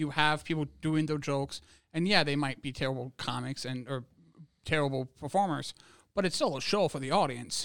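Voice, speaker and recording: An unremarkable speaking voice from a man at a fairly quick pace, with ordinary pitch variation, on a very clean recording with a silent background. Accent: American. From Wisconsin, US. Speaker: comedian. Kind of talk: casual chat.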